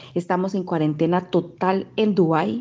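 A woman's dark, mellow tone at medium pitch, with fairly even intonation. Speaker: Costa Rican living abroad. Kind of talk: testimony.

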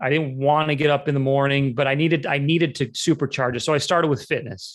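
In an American accent, the speaker has an unremarkable speaking voice with fairly even intonation at a moderate pace. The recording is very clean, with a silent background. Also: man. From Utah. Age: 40s. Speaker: real estate agent. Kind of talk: interview.

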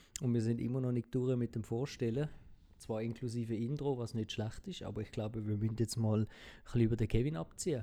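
Talking at a very fast pace, a man uses a medium pitch and a dark, mellow tone with fairly even intonation. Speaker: podcast co-host. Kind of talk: casual chat.

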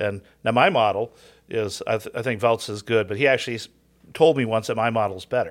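Delivered at a fairly quick pace with an American accent, an unremarkable speaking voice with ordinary pitch variation comes through a very clean recording with a silent background. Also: man, medium pitch for a man. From Southern California. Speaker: seminary Greek professor. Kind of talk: casual chat.

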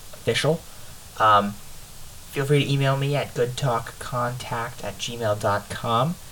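Over noticeable background noise, a man speaks very slowly in a fairly even tone. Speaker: podcast host. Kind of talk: casual chat. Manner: halting.

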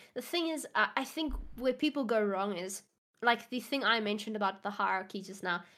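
Bright and sharp in tone, a woman with a South African accent speaks at fairly high pitch and a fairly quick pace. Her intonation is lively, on a very clean recording with a silent background. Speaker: psychology student. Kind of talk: casual interview. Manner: halting, self-conscious about English.

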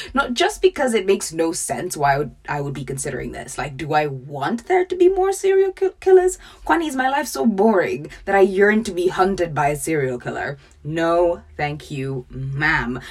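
A woman talks at a moderate pace with hardly any pauses, against noticeable background noise. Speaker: podcast host. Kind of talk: scripted narration; casual chat. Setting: home closet studio.

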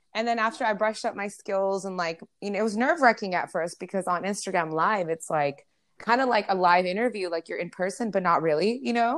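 In a normal speaking voice, a woman with an American accent talks fairly quickly at a medium pitch with ordinary pitch variation over a quiet background. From California, US (moved there at 12 from New York). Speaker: radio host and rapper. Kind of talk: casual interview.

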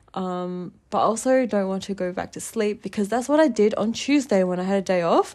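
A woman with an Australian accent speaks at a fairly quick pace and a medium pitch, with ordinary pitch variation, hardly any pauses, and a very clean recording over a silent background. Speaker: podcast host. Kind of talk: casual monologue.

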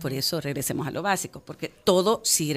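A woman's fairly low voice over music in the background. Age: 40s. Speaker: sustainable fashion entrepreneur. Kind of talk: radio interview. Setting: radio studio.

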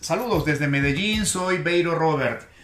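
A man with a high voice speaks at a fairly slow pace and ordinary pitch variation, with audible room echo and noticeable background noise. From Peru. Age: 50s. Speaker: podcast host, communication coach. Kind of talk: motivational talk.

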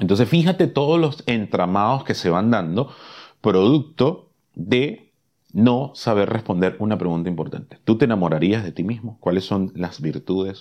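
At a moderate pace over a quiet background, a man with a normal speaking voice uses a fairly low pitch and lively intonation. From Caribbean. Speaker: podcast host, love and relationships coach. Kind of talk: motivational talk.

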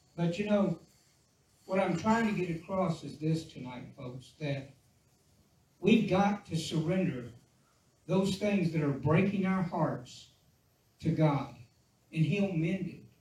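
Amid audible room echo, a man with a high voice speaks at a very slow pace, with long, frequent pauses and ordinary pitch variation. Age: 60s. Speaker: pastor. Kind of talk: sermon. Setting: church. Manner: halting.

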